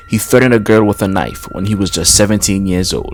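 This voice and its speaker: With music playing in the background, a man talks at a fairly quick pace in a fairly low pitch. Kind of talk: true crime narration.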